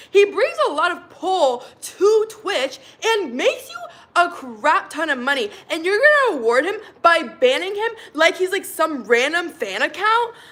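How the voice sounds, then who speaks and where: Over noticeable background noise, a woman with a Southern Californian accent talks at a fairly slow pace in an animated tone, her extremely high pitch swinging very widely. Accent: Valley Girl. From Arizona. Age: 20s. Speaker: live streamer. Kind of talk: casual live stream chat. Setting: live stream.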